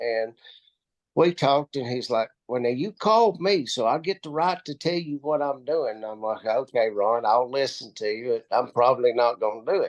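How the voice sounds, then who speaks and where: Here a man speaks at medium pitch and a moderate pace, with lively intonation. The sound is dry and close with no echo, over a quiet background. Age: 50s. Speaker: network marketing distributor. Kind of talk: interview. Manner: animated.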